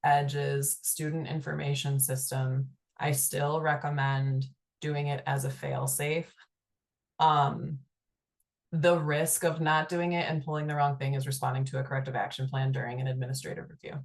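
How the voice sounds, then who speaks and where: A woman's somewhat breathy voice, very deep and low in pitch, with fairly even intonation at a moderate pace over a quiet background. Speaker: state agency presenter. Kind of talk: webinar Q&A. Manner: hesitant, many fillers.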